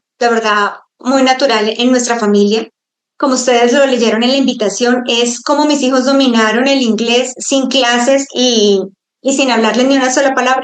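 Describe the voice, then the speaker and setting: A woman's high-pitched voice moves at a moderate pace, its intonation fairly even. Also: very even loudness. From Colombia. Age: 40s. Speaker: homeschooling mother. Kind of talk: online talk to a group of mothers. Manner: halting.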